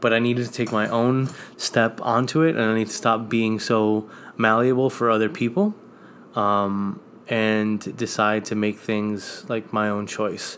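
A man with an American accent speaks at a medium pitch in a flat monotone at a fairly slow pace. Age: 30s. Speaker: host's husband. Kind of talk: casual chat.

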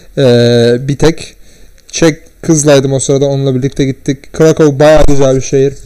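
In an ordinary speaking voice, a man talks at a moderate pace with a fairly high pitch. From Turkey. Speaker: podcast guest. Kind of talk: casual chat. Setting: at home, in his room.

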